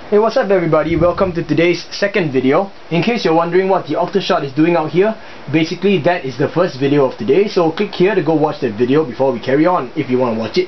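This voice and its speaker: Against noticeable background noise, a man races along at a very fast pace with hardly any pauses, his high voice full of lively intonation. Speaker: hobbyist video maker. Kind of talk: tutorial. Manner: casual, hesitant with fillers.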